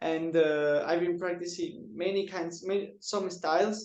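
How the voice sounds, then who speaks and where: Very slow speech from a man with a high pitch, in a Spanish accent. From Ecuador. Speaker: wushu trainer and designer. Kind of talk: interview. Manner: halting.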